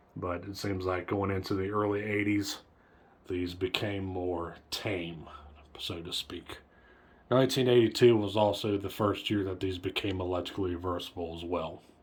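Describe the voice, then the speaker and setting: Fairly even intonation runs through this somewhat breathy voice. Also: man, very deep, low pitch for a man, moderate pace. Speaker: ceiling fan collector. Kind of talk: product review commentary. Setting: home bedroom. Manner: monotone.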